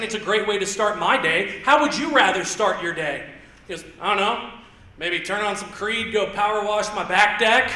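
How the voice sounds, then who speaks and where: With an American accent, a man uses a raised, projected voice at a moderate pace, with audible room echo and noticeable background noise. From Indiana. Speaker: stand-up comedian. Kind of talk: stand-up. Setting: stage with audience. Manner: loud.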